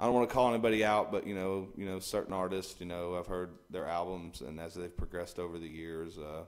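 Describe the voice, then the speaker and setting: A man with a Texan accent talks at a very fast pace with hardly any pauses, his very deep, low voice keeping a fairly even intonation. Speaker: singer-songwriter. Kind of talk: interview. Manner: halting, many repetitions.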